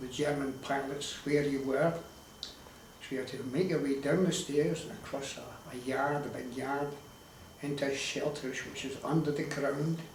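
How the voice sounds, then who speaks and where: A man with an Edinburgh accent talks at a moderate pace in a monotone, flat intonation and a fairly high pitch, with noticeable background noise and audible room echo. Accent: Edinburgh Scottish. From Scotland, Leith (Edinburgh). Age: 70s. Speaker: elderly local interviewee sharing memories. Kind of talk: oral history interview.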